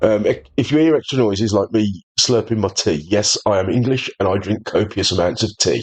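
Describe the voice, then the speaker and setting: Music plays in the background as a man speaks in a Birmingham accent. His fairly low voice moves at a fairly quick pace with ordinary pitch variation. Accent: Birmingham-area English. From English Midlands, near Birmingham. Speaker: gaming video creator. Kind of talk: gameplay tutorial commentary. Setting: at home on a sofa. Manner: casual, with hesitations.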